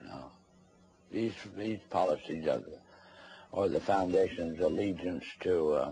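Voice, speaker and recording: A man speaks at a fairly slow pace with a very deep, low pitch and vocal fry. His tone is dark and mellow, broken by long, frequent pauses. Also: ordinary pitch variation. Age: 80s+. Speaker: former congressional investigator. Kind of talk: interview. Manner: halting.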